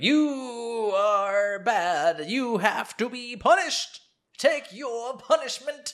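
In a put-on character voice, a man speaks very slowly at an extremely high pitch, with lively intonation and big swings in loudness. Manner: taunting, scolding.

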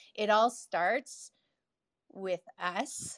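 A dry, close sound with no echo and a bright, sharp tone. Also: woman. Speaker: entrepreneur. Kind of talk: personal story. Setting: live audio room online.

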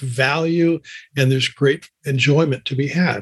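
A man with a fairly high pitch and a somewhat breathy voice speaks at a fairly slow pace, the sound dry and close with no echo. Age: 70s. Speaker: playwright and speaker. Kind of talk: interview.

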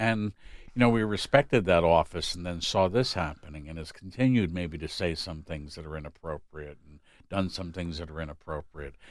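In a very clean recording with a silent background, a man with a very deep, low pitch talks at a fairly quick pace, showing ordinary pitch variation and big swings in loudness. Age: 60s. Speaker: psychologist. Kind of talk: casual chat.

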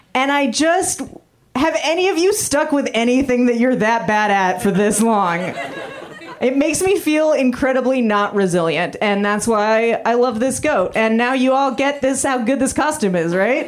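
Amid noticeable background noise and audible room echo, a woman with a high pitch speaks at a moderate pace with lively intonation and very even loudness. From Canada. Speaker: stand-up comedian. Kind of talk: stand-up. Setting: stage with audience.

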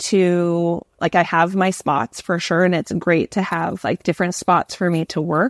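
A woman's normal speaking voice, fairly low in pitch with a Canadian accent, at a fairly slow pace with hardly any pauses and fairly even intonation, in a dry, close sound with no echo and a very clean recording with a silent background. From Canada. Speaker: educator and author. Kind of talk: casual interview conversation.

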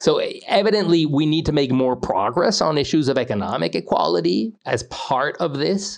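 At a moderate pace, a man talks with a fairly high pitch, very wide pitch swings, vocal fry and very even loudness. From Mexico. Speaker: economics writer and author. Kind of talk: interview.

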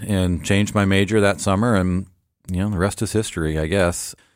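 Speaking with a West Coast accent, a man keeps a fairly even intonation in a fairly low voice. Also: very clean recording, silent background. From Portland, Oregon, US. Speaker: orthodontist. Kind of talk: interview. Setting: studio.

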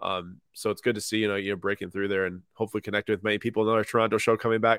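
In a very clean recording with a silent background, a man with an American accent talks very fast at a fairly low pitch. His intonation is monotone and flat, and the sound is dry and close with no echo. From US Midwest, Minnesota/Wisconsin. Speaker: sports card business founder. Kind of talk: casual interview.

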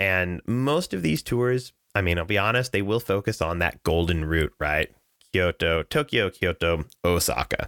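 A man with an American accent speaks at a very deep, low pitch with lively intonation and very even loudness. The recording is very clean, with a silent background and a dry, close sound with no echo. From Southern California. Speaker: travel company sales director. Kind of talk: casual chat.

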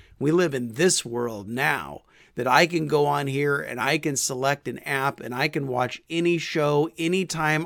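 A man speaks at a fairly slow pace with a fairly high pitch and ordinary pitch variation, in a normal speaking voice. The recording is very clean with a silent background. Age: 50s. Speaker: podcast host and small group ministry consultant. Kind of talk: teaching talk. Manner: casual, conversational.

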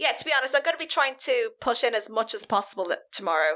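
A woman with an Irish accent speaks at a fairly high pitch, making very wide pitch swings. The recording is very clean, with a silent background. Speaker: podcast co-host. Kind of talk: casual chat.

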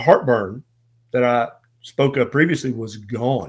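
A man talks with ordinary pitch variation, keeping a fairly slow pace. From US South. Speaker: family physician. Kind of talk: interview conversation.

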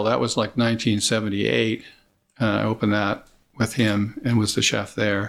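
A man with an American accent talks at a fairly quick pace, with vocal fry. The recording is very clean, with a silent background. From US West Coast (California Bay Area). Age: 60s. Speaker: chef and food producer. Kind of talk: interview. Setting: at his home. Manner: halting, repeats words.

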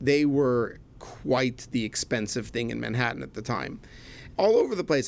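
In a Canadian accent, the speaker moves at a moderate pace with lively intonation. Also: man. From Canada, Montreal. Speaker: chemistry professor and rabbi. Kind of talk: casual chat. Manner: animated.

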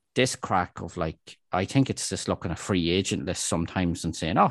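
A man's very deep, low voice with an Irish accent at a fairly quick pace, dry and close with no echo, against a quiet background. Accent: Irish (Louth). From Ireland, Dundalk (County Louth). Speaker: local sports journalist, podcast co-host. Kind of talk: casual football discussion.

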